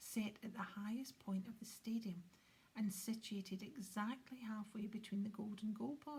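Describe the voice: Read aloud in a plain way, the passage keeps a fairly even intonation.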